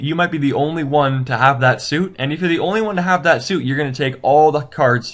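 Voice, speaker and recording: Against a quiet background, a man talks at a fairly quick pace. His fairly high pitch shows ordinary variation. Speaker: game tutorial video maker. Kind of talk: tutorial. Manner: fast; halting.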